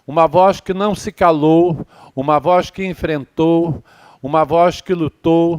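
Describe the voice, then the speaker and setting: A man's fairly high voice at a very slow pace, dry and close with no echo. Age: 70s. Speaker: candomblé elder and activist. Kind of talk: ceremonial speech.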